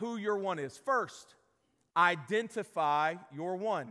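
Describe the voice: With a bright, sharp tone, a man talks using lively intonation.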